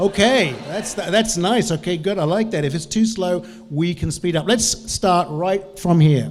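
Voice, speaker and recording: A man's high voice in a New Zealand accent with lively intonation, plus noticeable background noise and audible room echo. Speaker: business trainer and lecturer. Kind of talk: conference talk. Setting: stage with audience.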